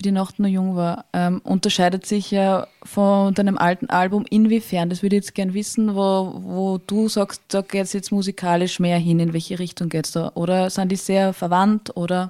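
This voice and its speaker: The voice has a dark, mellow tone, flat monotone intonation and hardly any pauses. The recording is very clean with a silent background, and the sound is dry and close with no echo. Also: woman, medium pitch for a woman, moderate pace. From Lower Austria, Tulln district. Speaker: podcast co-host. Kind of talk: casual interview.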